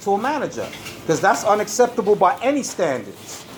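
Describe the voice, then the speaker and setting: Loud and animated in tone, a man with a high pitch talks at a fairly quick pace with lively intonation over noticeable background noise. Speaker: customer filming a complaint. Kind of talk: heated argument. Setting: in a supermarket.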